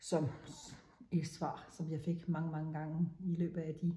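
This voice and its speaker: A woman speaks in a very deep, low pitch. Her tone is dark and mellow, and somewhat breathy. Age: 60s. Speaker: menopause speaker sharing personal experience. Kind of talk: personal talk to camera. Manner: halting.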